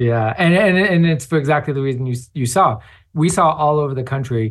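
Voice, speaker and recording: Over a quiet background, a man speaks at a moderate pace in a somewhat breathy, medium-pitched voice with ordinary pitch variation. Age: 30s. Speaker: advocacy organizer. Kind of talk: interview.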